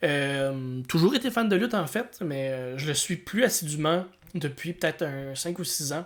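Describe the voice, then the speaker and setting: A man with a Quebec accent speaks at a fairly slow pace. His pitch is fairly high and his intonation lively. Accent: Québécois French. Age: 30s. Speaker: podcast co-host and comedian. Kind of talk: casual podcast chat. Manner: halting, repeats words.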